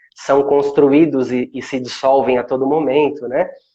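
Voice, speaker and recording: A man's calm, dark and mellow voice with monotone, flat intonation. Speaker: meditation instructor. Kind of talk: casual chat.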